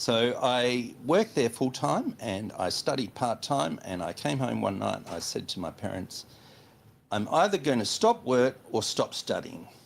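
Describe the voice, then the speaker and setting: Speaking at a fairly slow pace, a man talks in an Australian accent. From Western Australia. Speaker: chartered accountant. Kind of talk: interview.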